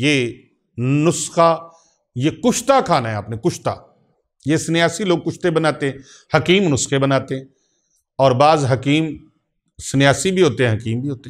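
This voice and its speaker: Here is a man with a fairly high pitch and ordinary pitch variation, using an ordinary speaking voice. The recording is very clean, with a silent background. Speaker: Islamic spiritual healer and preacher.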